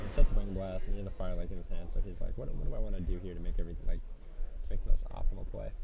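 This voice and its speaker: A man speaks very fast with hardly any pauses, against noticeable background noise. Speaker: esports commentator. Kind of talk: live commentary. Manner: loud; animated.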